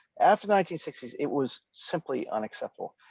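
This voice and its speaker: With an American accent, a man talks at a moderate pace in a dry, close sound with no echo over a quiet background. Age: 60s. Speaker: political theory professor and author. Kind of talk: interview discussion.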